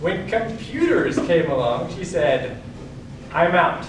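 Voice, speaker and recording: Through noticeable background noise and audible room echo, a man speaks in a high-pitched voice. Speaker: speaker giving a talk. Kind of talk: speech to an audience.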